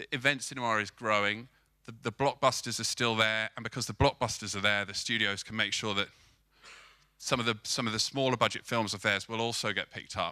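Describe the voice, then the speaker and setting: A man in a British accent at a fairly quick pace and medium pitch, bright and sharp in tone, with fairly even intonation, dry close sound with no echo, and a very clean recording over a silent background. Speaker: film marketing agency co-founder. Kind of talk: conference talk. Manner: fast; repetitive false starts.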